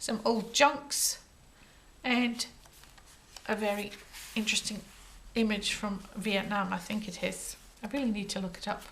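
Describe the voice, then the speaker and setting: Pausing long and often, a woman with a Scottish accent talks at a fairly slow pace with fairly even intonation amid noticeable background noise. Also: fairly high pitch for a woman. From Scotland. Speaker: crafter. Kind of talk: tutorial. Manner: casual.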